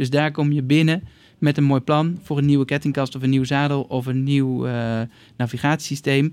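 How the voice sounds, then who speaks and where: The recording is very clean, with a silent background. A man speaks at a moderate pace with a fairly high pitch and a monotone, flat intonation. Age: 40s. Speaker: bicycle company co-founder. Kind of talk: interview. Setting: studio. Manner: halting.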